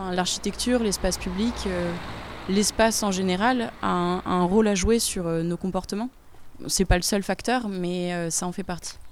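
Her voice is an ordinary speaking voice, medium in pitch for a woman. She keeps a moderate pace and fairly even intonation. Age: 20s. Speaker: architect. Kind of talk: reportage interview.

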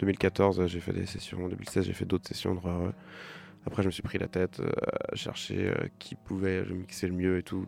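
The speech moves at a moderate pace with long, frequent pauses and a monotone, flat intonation. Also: man, very deep, low pitch for a man. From western France, near Nantes. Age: 30s. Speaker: musician. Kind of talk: radio interview. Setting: radio studio, live. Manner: halting, many fillers and repetitions.

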